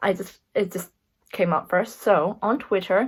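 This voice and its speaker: Heard on a very clean recording with a silent background, this American-accented voice shows ordinary pitch variation. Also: woman. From USA and England. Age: 20s. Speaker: YouTuber. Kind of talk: casual Q&A monologue.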